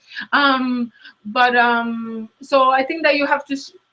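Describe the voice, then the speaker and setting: A woman speaks with a strong Latin American Spanish accent. Her voice is high-pitched, with ordinary pitch variation. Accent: thick Latin American Spanish. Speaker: career coach. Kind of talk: interview. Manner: hesitant, many fillers.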